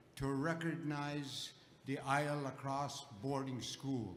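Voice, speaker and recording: Speech comes at a very slow pace amid noticeable background noise and audible room echo. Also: man. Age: 80s+. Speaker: elder and residential school survivor. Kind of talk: audience comment at public gathering.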